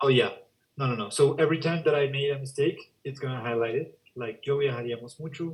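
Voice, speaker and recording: The speech runs at a very fast pace, somewhat breathy, with fairly even intonation. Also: man, fairly high pitch for a man. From Spanish-speaking country. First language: Spanish. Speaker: education software demonstrator. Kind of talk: software demo.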